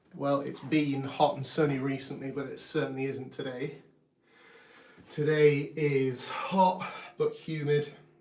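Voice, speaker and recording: With audible room echo, a man talks at a fairly slow pace in a calm, relaxed tone, his fairly high pitch monotone and flat while his loudness swings widely. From UK. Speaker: artist and drummer, channel owner. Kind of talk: live stream art commentary. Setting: home art studio, live stream.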